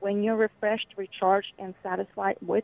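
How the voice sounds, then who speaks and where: This is a woman speaking. She talks with a Bulgarian accent. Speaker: children's author. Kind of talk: interview.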